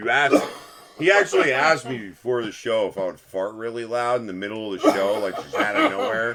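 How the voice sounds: The clip features a natural reading voice. It is heard throughout.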